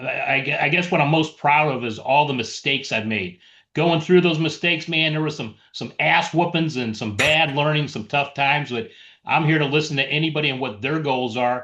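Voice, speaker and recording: A man with an American accent speaks at a moderate pace and a fairly high pitch, his tone bright and sharp. His pitch varies in an ordinary way against a quiet background. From US Midwest, St. Louis, Missouri. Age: 60s. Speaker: real estate investor. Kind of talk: casual chat. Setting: video call.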